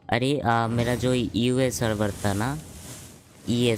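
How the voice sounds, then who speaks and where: At a very slow pace, a man speaks over noticeable background noise. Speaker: gaming streamer. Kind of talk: casual livestream commentary.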